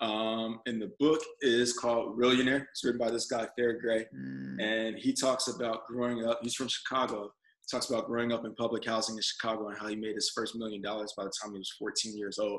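A man talks in an ordinary speaking voice at a medium pitch and a fairly quick pace. His intonation is fairly even, with hardly any pauses. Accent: American. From Texas, San Antonio. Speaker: Navy veteran, entrepreneur and actor. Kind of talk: casual interview chat.

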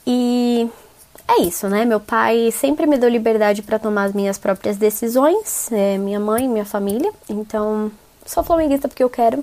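At a moderate pace, a woman speaks with a fairly high pitch and ordinary pitch variation. Noticeable background noise is present. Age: 20s. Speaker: journalist, podcast co-host. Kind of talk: recorded self-introduction.

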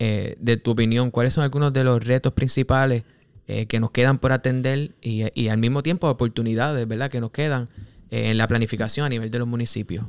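An unremarkable speaking voice moves at a fairly quick pace with fairly even intonation. The sound is dry and close with no echo, and the recording is very clean against a silent background. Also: man, medium pitch for a man. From Puerto Rico, Cabo Rojo. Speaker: podcast co-host, planner. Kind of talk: casual interview.

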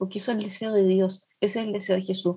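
Her voice has a dark, mellow tone and is somewhat breathy. The woman speaks at a medium pitch. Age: 50s. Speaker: nun and social worker. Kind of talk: interview conversation.

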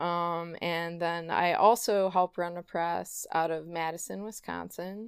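This woman's fairly low voice shows ordinary pitch variation on a very clean recording with a silent background. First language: German. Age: 30s. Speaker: poet and small press publisher. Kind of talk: casual interview. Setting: in a home.

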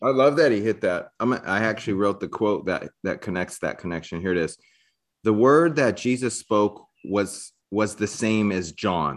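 Over a quiet background, a man with an unremarkable speaking voice talks at a moderate pace, his fairly low pitch carried by lively intonation. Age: 40s. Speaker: podcast host. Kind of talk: casual interview chat.

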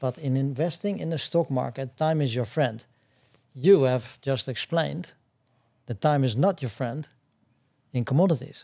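In a very clean recording with a silent background, a man with a Dutch accent speaks at medium pitch in a dark, mellow tone, leaving long, frequent pauses. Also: ordinary pitch variation, moderate pace. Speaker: podcast host, former commodity trader. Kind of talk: interview.

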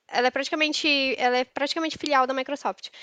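A woman's voice, dry and close with no echo, over a quiet background. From Manaus, northern Brazil. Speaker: software developer. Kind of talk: casual interview.

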